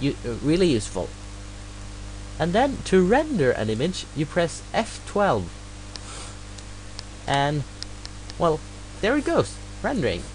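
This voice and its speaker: Against noticeable background noise, a man with a slight non-native accent speaks at a fairly slow pace with long, frequent pauses. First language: not English. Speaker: hobbyist tutorial maker. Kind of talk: screen-recorded software tutorial. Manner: halting, many fillers.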